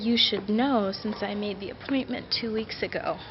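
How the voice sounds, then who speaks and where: Over noticeable background noise, a woman with an American accent speaks in a monotone, flat way. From United States. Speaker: vlogger. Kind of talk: casual storytelling vlog.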